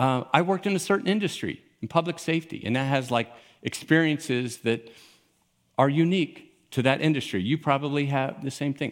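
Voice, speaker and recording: At a fairly quick pace, a man talks in a normal speaking voice, fairly high in pitch, with ordinary pitch variation. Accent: American. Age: 60s. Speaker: pastor. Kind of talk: sermon. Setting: church with live audience. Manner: casual.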